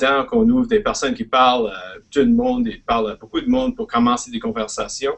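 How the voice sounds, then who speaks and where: Speaking with an Acadian accent, a man talks with hardly any pauses. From Prince Edward Island, Canada (Acadian). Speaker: educator and guest speaker. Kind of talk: presentation. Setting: live online webinar. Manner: halting, hesitant.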